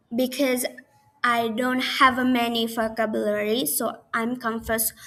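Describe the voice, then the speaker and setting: In an Indonesian accent, a woman with a fairly high pitch talks at a fairly slow pace with fairly even intonation. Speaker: university student. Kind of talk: class presentation video. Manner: halting.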